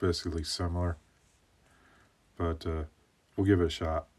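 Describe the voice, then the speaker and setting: At a moderate pace, a man with a very deep, low pitch sounds somewhat breathy, his tone relaxed and bored. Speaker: woodcarver. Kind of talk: voiceover tutorial. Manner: flat, bored-sounding; relaxed, hesitant with fillers.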